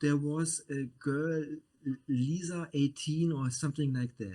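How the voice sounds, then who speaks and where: A man with a German accent has a fairly high pitch, a dark, mellow tone and ordinary pitch variation. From Germany. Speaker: media producer. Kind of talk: casual chat. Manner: halting.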